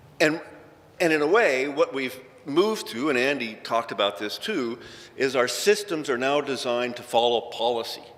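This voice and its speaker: A man with a Canadian accent speaks at a moderate pace, his medium pitch rising and falling in lively intonation. Noticeable background noise and audible room echo fill the recording. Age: 60s. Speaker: injured worker advocate. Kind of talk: conference talk. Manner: casual, conversational.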